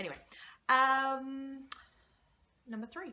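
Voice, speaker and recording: Speaking fairly slowly, a woman uses an Australian accent. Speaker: blogger and vlogger. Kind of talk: casual vlog introduction. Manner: chatty, many filler ums.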